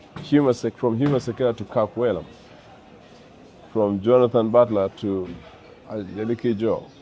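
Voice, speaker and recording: A man speaks at a moderate pace with a medium pitch and fairly even intonation. There are long, frequent pauses, and background noise is noticeable. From Uganda. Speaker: jazz saxophonist. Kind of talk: interview. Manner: halting.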